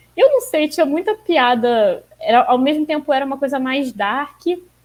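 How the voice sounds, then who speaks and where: Lively intonation runs through a woman's speech, delivered at a moderate pace. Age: 20s. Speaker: comic fan guest. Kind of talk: casual chat.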